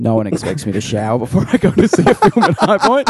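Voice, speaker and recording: The sound is dry and close, without any echo. The man in it talks fairly quickly. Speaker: podcast host. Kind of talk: casual chat.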